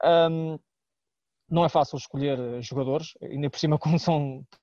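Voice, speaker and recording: A man with an unremarkable speaking voice keeps a moderate pace and shows ordinary pitch variation. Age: 30s. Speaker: sports journalist. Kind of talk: podcast panel discussion.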